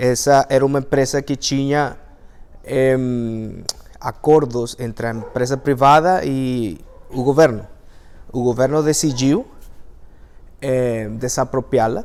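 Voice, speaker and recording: A man with a Venezuelan accent speaks very slowly at a medium pitch, with fairly even intonation. Long pauses come often. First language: Spanish (speaking Portuguese). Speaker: engineer and language teacher. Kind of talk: talk to an audience. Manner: halting, many fillers.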